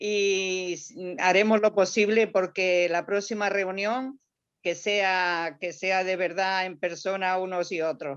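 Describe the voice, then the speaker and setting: A woman at medium pitch in an Andalusian accent, very slow in pace, with fairly even intonation, over a quiet background. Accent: Andalusian (Granada), kept. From Granada, Andalusia. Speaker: audience member. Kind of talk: audience question and thanks. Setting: video call.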